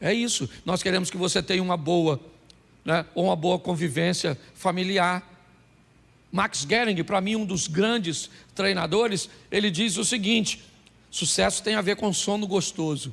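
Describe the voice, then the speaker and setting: A high-pitched man speaks fairly slowly with long, frequent pauses, ordinary pitch variation and very even loudness. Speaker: pastor. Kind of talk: sermon.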